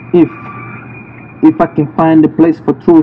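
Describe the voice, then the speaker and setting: A man talks at a fairly slow pace. Behind him, music is playing. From DR Congo, Bukavu. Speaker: poet. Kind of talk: spoken word poetry. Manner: dramatic.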